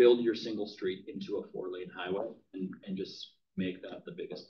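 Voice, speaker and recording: The speaker is a man. His accent is American. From Minnesota. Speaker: real estate team leader. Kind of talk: training class. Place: classroom.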